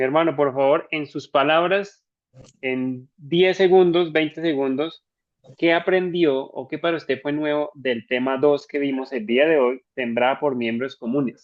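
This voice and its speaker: A plain, everyday voice belongs to a man who speaks fairly slowly at a fairly high pitch with ordinary pitch variation. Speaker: church trainer. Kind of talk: online training session. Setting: video call.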